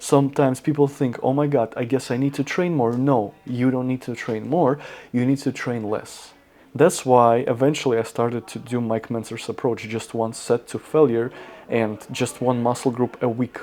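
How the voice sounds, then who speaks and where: A man speaks at a moderate pace in a non-native accent, his medium-pitched voice dark and mellow with fairly even intonation. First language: not English. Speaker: fitness content creator. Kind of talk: casual talk to camera. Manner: halting.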